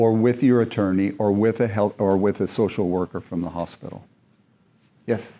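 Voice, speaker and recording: A man speaks at a moderate pace with a fairly low pitch, fairly even intonation and a dark, mellow tone, on a very clean recording with a silent background. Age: 70s. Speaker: seminar leader, physician. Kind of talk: lecture. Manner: conversational.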